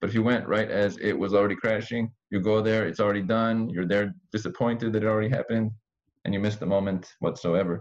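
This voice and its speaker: A man with an unremarkable speaking voice talks at a fairly quick pace and fairly low pitch over a quiet background. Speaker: podcast host. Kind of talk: interview.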